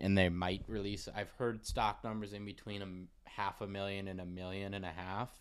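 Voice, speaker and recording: An ordinary speaking voice from a man, fairly low in pitch, at a moderate pace. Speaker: sneaker podcast co-host. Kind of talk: casual chat. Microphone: new microphone, clearer audio than before.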